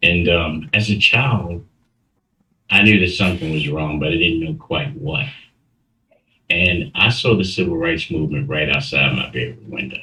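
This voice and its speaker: Bright, sharp tone with an American accent, very wide pitch swings, vocal fry, long and frequent pauses, and a moderate pace. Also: man, very deep, low pitch for a man. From Baltimore, Maryland, US. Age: 60s. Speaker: interview guest telling life story. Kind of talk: testimony interview.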